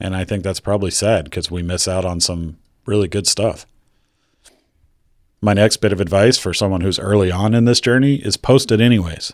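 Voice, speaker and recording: On a very clean recording with a silent background, a man with a fairly low voice talks at a fairly quick pace, broken by long, frequent pauses. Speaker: YouTuber, former air traffic controller. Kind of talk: casual advice talk. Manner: monotone.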